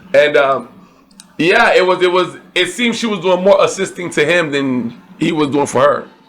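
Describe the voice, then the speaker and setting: A man talks at a moderate pace with ordinary pitch variation. Noticeable noise sits in the background. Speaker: podcast co-host. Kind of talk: casual movie review chat.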